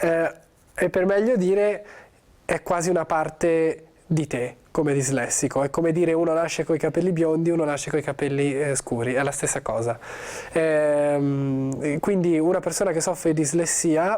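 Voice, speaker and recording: A man's fairly high voice holds a very even loudness throughout. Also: ordinary pitch variation, moderate pace. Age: 20s. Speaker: actor. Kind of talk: interview. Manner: halting.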